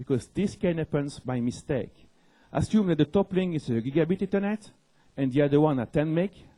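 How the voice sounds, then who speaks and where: Fairly high-pitched for a man, he talks at a fairly quick pace with lively intonation and a dark, mellow tone, captured in a dry, close sound with no echo. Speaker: network security engineer. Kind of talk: conference talk. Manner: fast.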